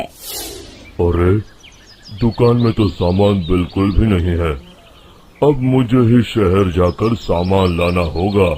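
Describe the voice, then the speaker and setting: A man puts on a rumbling character voice, fairly low in pitch. He speaks very slowly. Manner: grumbling, annoyed.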